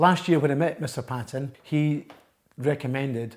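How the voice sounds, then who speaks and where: In an Edinburgh accent, a man with a medium-pitched, somewhat breathy voice speaks at a fairly quick pace with fairly even intonation. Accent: Scottish (Edinburgh). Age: 60s. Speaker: patient. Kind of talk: testimony.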